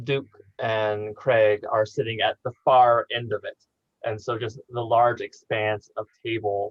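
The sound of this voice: Quiet background behind an unforced reading voice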